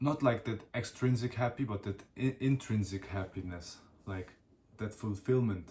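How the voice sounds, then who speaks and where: Somewhat breathy delivery with a non-native accent, a dark, mellow tone and ordinary pitch variation. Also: man, medium pitch for a man, moderate pace. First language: not English. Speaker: solo podcaster / vlogger. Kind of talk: casual monologue. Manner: halting.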